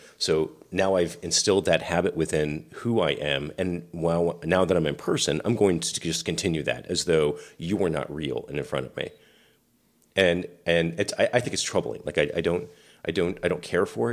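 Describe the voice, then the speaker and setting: On a very clean recording with a silent background, a man with an American accent speaks at a moderate pace in a very deep, low voice, with ordinary pitch variation. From US Pacific Northwest, rural island near Seattle. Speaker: podcast co-host, navy veteran. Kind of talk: casual chat.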